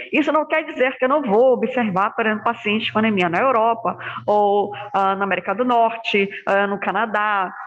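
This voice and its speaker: Keeping very even loudness, a woman with a fairly high voice talks at a moderate pace with ordinary pitch variation. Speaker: hematology lecturer. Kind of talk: online lecture. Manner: soft-spoken.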